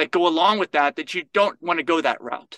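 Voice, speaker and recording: The man's high pitch carries a bright, sharp tone and ordinary pitch variation, in a dry, close sound with no echo. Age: 50s. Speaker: lifestyle nutritionist. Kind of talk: interview.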